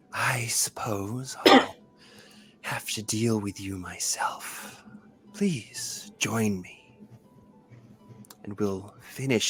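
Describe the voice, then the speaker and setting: A man uses a put-on character voice, resonant and medium in pitch, at a very slow pace with long, frequent pauses. Faint music plays in the background. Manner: whispering, eerie.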